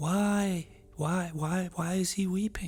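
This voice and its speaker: A man's high-pitched, put-on character voice. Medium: read story.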